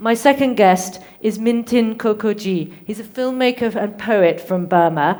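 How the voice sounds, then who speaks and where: A woman with a British accent speaks at a fairly slow pace in a fairly high pitch, with ordinary pitch variation and hardly any pauses. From UK. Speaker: conference moderator. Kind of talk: conference moderation.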